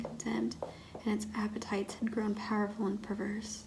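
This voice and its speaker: Over noticeable background noise, a soft-spoken woman talks at a fairly quick pace and a fairly high pitch. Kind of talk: ASMR story reading.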